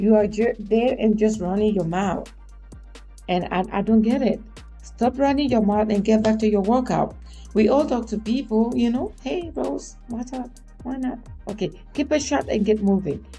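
Faint music plays behind a woman who speaks at a moderate pace with ordinary pitch variation. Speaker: vlogger. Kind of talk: casual vlog chat. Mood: mildly annoyed, opinionated. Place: home room. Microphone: studio mic.

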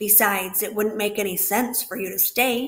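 The voice here reads in a natural way.

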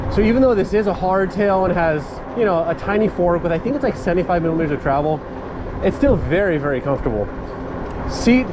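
The speech runs at a very fast pace amid noticeable background noise. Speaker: bike reviewer riding. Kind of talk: casual ride-along review commentary. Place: bicycle.

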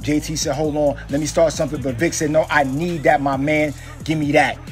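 With music in the background, a man speaks at a fairly quick pace in an energetic, excited tone and a fairly high pitch. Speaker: sports voiceover artist / aspiring sports host. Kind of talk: sports play-by-play voiceover audition. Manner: energetic, hyped, excited.

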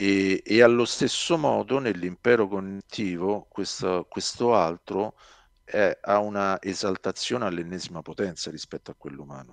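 Over a quiet background, a man with a fairly low pitch and ordinary pitch variation speaks at a moderate pace, his loudness swinging widely in a dry sound with no echo. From Rome, Italy; Italy. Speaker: science fiction author; interviewee. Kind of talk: interview. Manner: halting, many repetitions. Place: home room. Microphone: headset.

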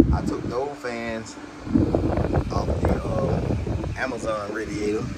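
Loud background noise sits under a man speaking with ordinary pitch variation. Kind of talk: casual vlog chat. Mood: relaxed, thinking aloud. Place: street. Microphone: phone near.

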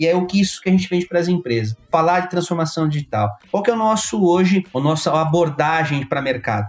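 Hardly pausing, a man talks at a very fast pace with lively intonation and a high pitch. Noticeable background noise runs underneath. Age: 40s. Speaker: tech company founder and angel investor. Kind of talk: interview.

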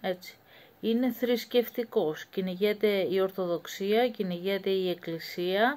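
Delivered very slowly, the speech shows ordinary pitch variation. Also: woman. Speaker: commentator. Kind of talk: commentary monologue. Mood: grave, worried. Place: home room. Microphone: phone near.

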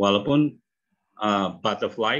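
With ordinary pitch variation, a man speaks at a fairly low pitch over a quiet background. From Indonesia. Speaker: English teacher; phonics teacher. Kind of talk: online lecture. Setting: video call. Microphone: video call.

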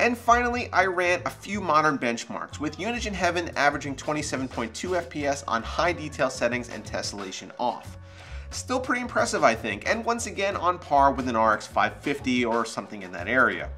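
Over faint music in the background, a man talks at a moderate pace. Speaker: tech video host. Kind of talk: tech review narration. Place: office.

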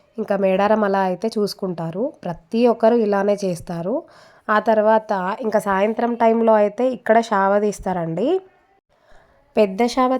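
A woman speaks in a dark, mellow tone with fairly even intonation. The recording is very clean, with a silent background. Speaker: family vlogger. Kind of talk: travel vlog narration.

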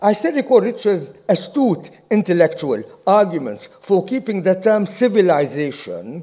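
Against a quiet background, a man with a high pitch and a dark, mellow tone speaks with lively intonation. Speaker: university professor. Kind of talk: memorial tribute read from notes. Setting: memorial event with audience. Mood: solemn, respectful. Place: meeting room. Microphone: podium.

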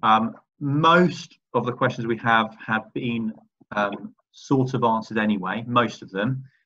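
With a normal speaking voice, a man talks at a fairly slow pace, medium in pitch and with ordinary pitch variation. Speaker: college teacher. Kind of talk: moderating Q&A. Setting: video call. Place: home room. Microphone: video call.

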